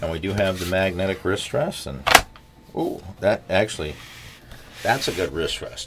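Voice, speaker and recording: There is noticeable background noise behind a man. He talks at a moderate pace in a very deep, low pitch. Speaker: keyboard reviewer. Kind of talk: product review commentary. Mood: mildly frustrated plea. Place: home room.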